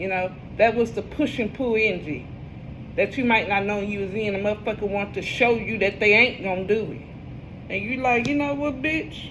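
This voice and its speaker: Over noticeable background noise and audible room echo, a woman talks at a moderate pace and a fairly high pitch, with ordinary pitch variation. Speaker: tarot reader. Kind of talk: casual tarot reading monologue. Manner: animated.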